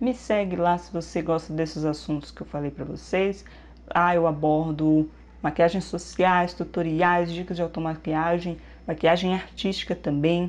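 With a plain, everyday voice, a woman talks at a moderate pace in a fairly low pitch and fairly even intonation. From Minas Gerais, Brazil. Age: 30s. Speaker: beauty youtuber. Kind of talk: vlog introduction. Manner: casual, chatty.

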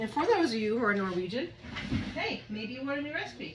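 Over faint background noise, a woman speaks at a fairly quick pace with ordinary pitch variation.

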